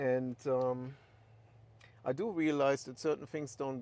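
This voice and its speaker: A man speaks at a very slow pace. His pitch is medium. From Germany. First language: German. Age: 60s. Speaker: livestreamer. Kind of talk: casual livestream monologue. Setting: in a car. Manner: many filler ums.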